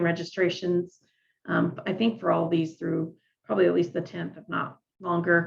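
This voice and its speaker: Delivered at a moderate pace, this is a normal speaking voice with an American accent. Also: woman. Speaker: extension agent leading 4-H leader training. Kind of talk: online training meeting.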